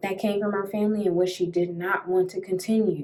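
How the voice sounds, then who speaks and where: A woman speaks in a dark, mellow tone. Her pace is moderate and her intonation fairly even. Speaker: podcast host. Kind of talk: solo podcast monologue. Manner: loud.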